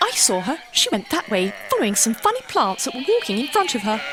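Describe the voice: A cartoonish character voice at a fairly high pitch rattles along at a very fast pace. Clear background noise sits behind it.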